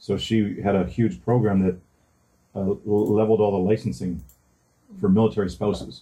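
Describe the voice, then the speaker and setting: This man's fairly low, somewhat breathy voice has a dark, mellow tone, ordinary pitch variation and very even loudness, moving at a moderate pace with long, frequent pauses. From northern Ontario, Canada. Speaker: podcast co-host. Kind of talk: casual chat.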